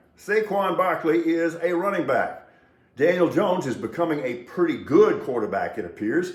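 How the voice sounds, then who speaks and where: Over noticeable background noise and audible room echo, a man speaks in a high pitch with very wide pitch swings. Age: 60s. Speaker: sports and news commentator. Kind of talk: solo commentary monologue. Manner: casual, sardonic.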